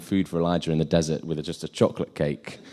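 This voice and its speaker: A man is speaking. He moves at a fairly quick pace. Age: 20s. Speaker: youth speaker. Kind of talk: sermon. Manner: animated.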